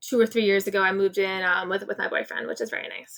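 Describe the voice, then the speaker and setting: The voice has a bright, sharp tone and an American accent. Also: woman. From New Jersey (Clifton, North Jersey). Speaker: interview guest, neighborhood content creator. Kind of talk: casual interview. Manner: fast.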